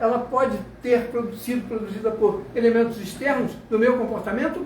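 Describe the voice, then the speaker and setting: With audible room echo and noticeable background noise, a man speaks at a moderate pace. His tone is animated and his pitch extremely high. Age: 80s+. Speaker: sociologist lecturer. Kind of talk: lecture.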